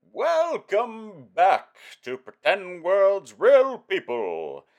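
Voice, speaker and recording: In a put-on character voice, a man speaks very slowly at a high pitch. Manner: funny put-on voice.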